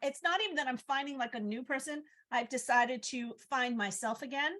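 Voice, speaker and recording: Her tone is animated and her pitch high. The woman keeps to a moderate pace. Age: 50s. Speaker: podcast co-host. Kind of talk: casual chat.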